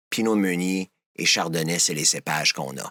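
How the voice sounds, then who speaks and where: A man speaking at a fairly slow pace. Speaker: wine importer and sommelier. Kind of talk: podcast interview, explaining wine.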